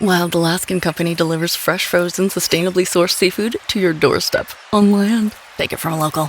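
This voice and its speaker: A woman with an American accent, fairly low pitch and lively intonation at a moderate pace, over noticeable background noise. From United States. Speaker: voice actor. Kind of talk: TV commercial read.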